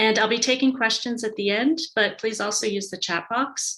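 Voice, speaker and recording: Speaking at a moderate pace with an American accent, a woman has a bright, sharp tone and ordinary pitch variation. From United States. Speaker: tourism and marketing advisor. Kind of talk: webinar presentation.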